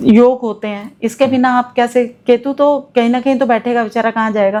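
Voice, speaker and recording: In a Himachali accent, a woman speaks at a fairly high pitch with fairly even intonation. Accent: Himachali accent in her Hindi. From Himachal Pradesh, India. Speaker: astrologer. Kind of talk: interview.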